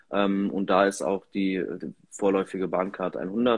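At a very slow pace, a man speaks with a fairly low pitch in a monotone, flat intonation. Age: 20s. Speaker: member of parliament. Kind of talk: interview. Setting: Instagram live stream.

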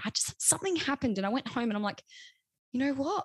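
The recording is dry and close-miked, without any echo. She is a woman speaking in an Australian accent. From South Australia. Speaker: social media manager and newsreader. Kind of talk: casual chat.

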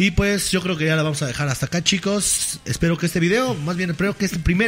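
Over noticeable background noise, a man speaks at a very fast pace with a high pitch. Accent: Mexican. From Mexico, Chipilo (Puebla). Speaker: podcast host. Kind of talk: casual chat. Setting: studio.

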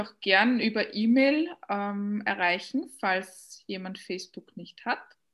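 At a very slow pace, a woman speaks in a somewhat breathy voice. Her pitch sits in the medium range with ordinary pitch variation. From Austria. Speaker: coach. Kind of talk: interview.

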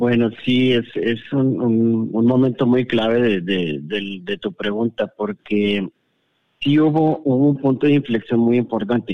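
Very slow-paced man, medium pitch, ordinary pitch variation. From Monterrey, northern Mexico. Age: 40s. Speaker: guest sharing personal experience. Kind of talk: personal testimony. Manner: halting.

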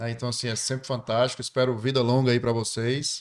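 Keeping a moderate pace, a man talks at a medium pitch in a monotone, flat intonation. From Ceará, Brazil. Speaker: entrepreneur. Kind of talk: casual interview chat.

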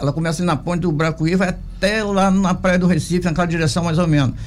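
A man's high-pitched voice at a very fast pace, with hardly any pauses, very even loudness and fairly even intonation, plus audible room echo and noticeable background noise. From Brazil, Angra dos Reis coast (Rio de Janeiro state). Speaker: city councillor. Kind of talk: radio interview.

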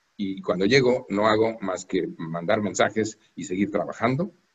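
A man's medium-pitched voice at a moderate pace, somewhat breathy, with ordinary pitch variation. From Mexico. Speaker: diplomat. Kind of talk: interview. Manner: formal.

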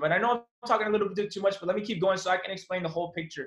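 A man's high, animated voice with an American accent at a very fast pace. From Miami, Florida. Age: young. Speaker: young entrepreneur. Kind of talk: casual interview.

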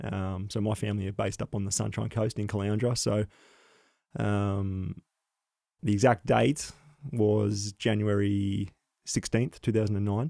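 A man with an Australian accent, a fairly low pitch and a dark, mellow tone, speaking at a fairly slow pace with fairly even intonation and long, frequent pauses, in a dry, close sound with no echo. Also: very clean recording, silent background. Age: 30s. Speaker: paramedic and former soldier. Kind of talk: interview, personal testimony.

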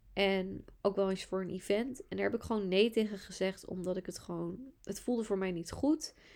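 This is a woman with a normal speaking voice at medium pitch. She talks at a moderate pace with ordinary pitch variation. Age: 20s. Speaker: podcast host, astrologer and entrepreneur. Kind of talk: solo podcast monologue.

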